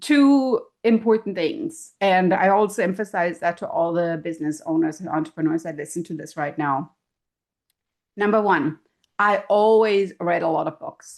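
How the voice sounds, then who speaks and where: A woman with a German accent speaks with lively intonation against a quiet background. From Germany. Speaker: professor and keynote speaker. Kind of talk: podcast interview. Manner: animated.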